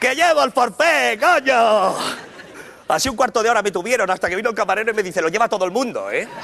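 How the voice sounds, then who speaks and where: This man talks at a very fast pace in a raised, projected voice. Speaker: stand-up comedian. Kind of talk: comedy monologue. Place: stage. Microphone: lapel.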